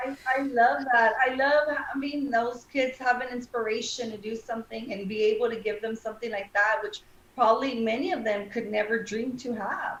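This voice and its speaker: With an American accent, the speaker goes at a moderate pace with hardly any pauses and ordinary pitch variation, over noticeable background noise. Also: woman, fairly high pitch for a woman. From South Texas (Brownsville area). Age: 40s. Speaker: lawyer and judicial candidate. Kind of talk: interview.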